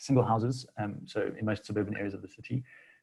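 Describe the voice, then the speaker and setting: At a fairly quick pace, a man talks with fairly even intonation and a somewhat breathy voice. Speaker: city planning official. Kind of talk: seminar presentation. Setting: video call. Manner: hesitant, many fillers.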